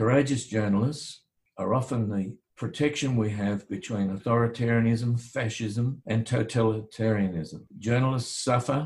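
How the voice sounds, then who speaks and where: A man with an Australian accent speaks at a moderate pace and medium pitch, his voice somewhat breathy. His loudness stays very even, with ordinary pitch variation. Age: 70s. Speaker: barrister and former attorney general. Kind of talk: interview.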